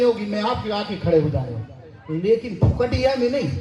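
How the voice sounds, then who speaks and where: A man with lively intonation over crowd noise in the background. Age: 60s. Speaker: retired education official. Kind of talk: public speech. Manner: animated.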